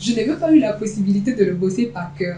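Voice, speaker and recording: Fairly quick speech with noticeable background noise. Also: woman. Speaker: voice actor, slam poet, master of ceremonies. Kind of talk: interview answer.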